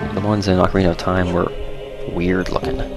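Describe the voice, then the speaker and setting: A quiet, whispering man with music in the background. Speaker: let's play gamer. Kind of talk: casual gameplay commentary. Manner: near-whisper, quiet.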